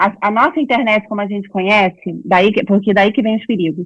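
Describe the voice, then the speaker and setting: Ordinary pitch variation marks this woman's speech. Her voice sits fairly high. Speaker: psychologist and writer giving a talk. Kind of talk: online lecture to small audience. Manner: fast.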